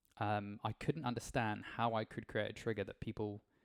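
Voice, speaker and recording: Recorded very cleanly with a silent background and a dry, close sound with no echo, a man speaks in a fairly low voice with vocal fry. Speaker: game world creator. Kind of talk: tutorial. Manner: fast; casual with many fillers.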